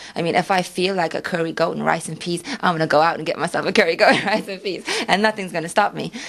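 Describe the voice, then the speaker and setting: Amid noticeable background noise, a woman talks very fast at a fairly low pitch with fairly even intonation. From Suriname. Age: 20s. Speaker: model. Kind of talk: radio interview. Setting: radio studio.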